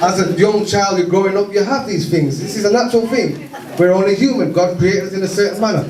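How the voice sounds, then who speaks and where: A man with a high pitch talks at a very fast pace in an animated tone. Noticeable background noise and audible room echo surround him. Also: ordinary pitch variation. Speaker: community campaigner. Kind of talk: speech to community meeting.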